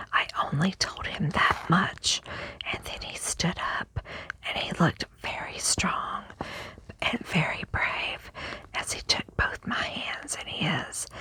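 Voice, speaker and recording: Whispering at a very slow pace, broken by long, frequent pauses, over noticeable background noise. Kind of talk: whispered ASMR book reading. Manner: whispered.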